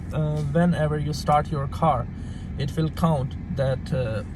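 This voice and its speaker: Heard with audible room echo and noticeable background noise, a man talks with a non-native accent. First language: not English. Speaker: car parts seller. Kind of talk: tutorial. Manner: halting.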